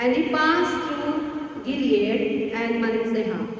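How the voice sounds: A woman speaks at a slow pace with fairly high pitch and ordinary pitch variation, with strong room echo around her.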